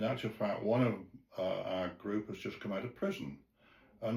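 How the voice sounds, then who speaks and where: The speaker is a man. His voice comes out somewhat breathy. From England. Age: 80s+. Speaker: retired sales and marketing manager. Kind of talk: interview answer.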